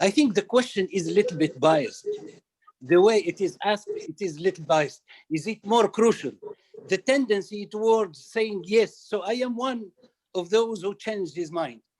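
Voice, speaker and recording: A man speaks with lively intonation at a moderate pace. His pitch is high. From Tunisia. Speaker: retired professor. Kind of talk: online discussion comment.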